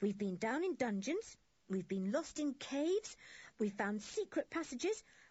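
Plain reading aloud of a text

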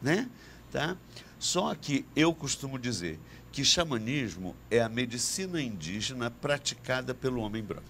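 The voice has vocal fry and very wide pitch swings, moving at a fairly slow pace. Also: man, medium pitch for a man. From Brazil, Rio de Janeiro / Niterói. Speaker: shaman and psychiatrist. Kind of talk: interview conversation.

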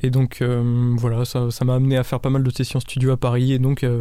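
A man's dark, mellow voice at medium pitch. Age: 20s. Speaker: musician. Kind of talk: interview. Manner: halting.

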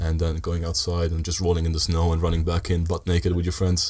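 A man with an English accent speaks in a very deep, low pitch. His somewhat breathy voice stays monotone and flat. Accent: good English. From Italy (Sardinia), Dutch-Italian family. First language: Italian (also Dutch). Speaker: student. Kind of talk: casual chat.

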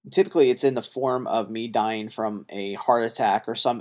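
An ordinary speaking voice moves at a moderate pace. Its pitch variation is ordinary. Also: man. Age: 30s. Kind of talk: solo monologue podcast.

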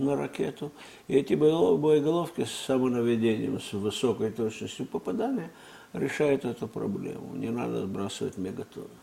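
With lively intonation, a man uses an ordinary speaking voice at a moderate pace. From Russia. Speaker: former intelligence agency chief. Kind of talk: interview. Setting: studio.

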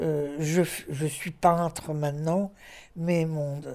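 The voice has a dark, mellow tone. The recording is very clean, with a silent background. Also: woman. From northern France, Lille. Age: 80s+. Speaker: visual artist. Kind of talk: interview testimony. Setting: retirement residence. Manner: halting.

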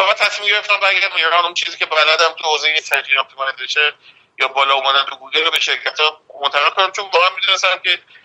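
This man speaks at a very fast pace with a high pitch. His pitch variation is ordinary. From Iran, Mashhad. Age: 30s. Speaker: food critic and web developer. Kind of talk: casual interview.

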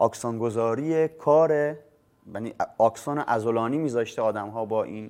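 With an ordinary speaking voice, a man talks at a moderate pace, medium pitch and ordinary pitch variation. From Bushehr, southern Iran. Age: 30s. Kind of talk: personal monologue to camera. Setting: filmed in front of a camera.

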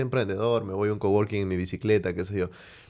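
The delivery is very fast, with fairly even intonation. The recording is very clean, with a silent background. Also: man. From Venezuela. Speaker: podcast host. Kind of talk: interview.

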